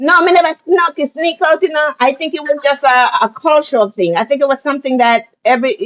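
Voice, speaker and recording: Her pitch high, a woman talks at a fairly quick pace with lively intonation and hardly any pauses. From Jamaica. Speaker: storyteller recounting her childhood. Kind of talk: casual conversational interview.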